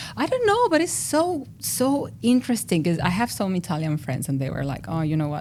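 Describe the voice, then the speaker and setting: With a dark, mellow tone, a woman speaks at a fairly quick pace. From Mexico City. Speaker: industrial designer and researcher. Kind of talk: podcast interview. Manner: loud, animated.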